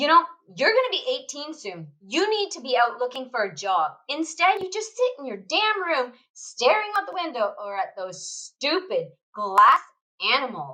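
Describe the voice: Someone performs a put-on character voice at a moderate pace. The tone is bright and sharp, with big pitch swings. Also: woman, high pitch for a woman.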